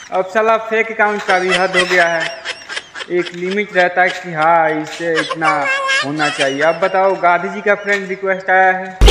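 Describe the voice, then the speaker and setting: A man talks fairly slowly despite loud background noise. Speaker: vlogger. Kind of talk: casual vlog chat. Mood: wry, complaining humor. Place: open country. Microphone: phone near.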